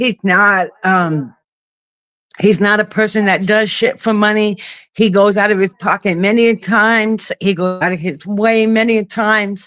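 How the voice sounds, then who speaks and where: A woman with a New York accent at medium pitch, speaking at a fairly slow pace with fairly even intonation. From Brooklyn, New York. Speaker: caller on a live stream. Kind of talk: casual chat. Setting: video call.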